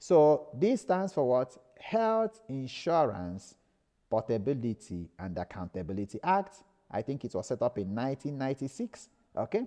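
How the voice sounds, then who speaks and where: A man with a Nigerian accent speaks at a moderate pace and medium pitch, his tone dark and mellow. His pitch swings very widely, and the sound is dry and close with no echo. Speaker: lecturer. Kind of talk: lecture. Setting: live stream.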